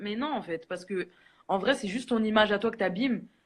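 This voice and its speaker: Her pitch sits fairly high for a woman. This woman's delivery comes at a very fast pace. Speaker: social media personality. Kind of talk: casual chat. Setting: live stream.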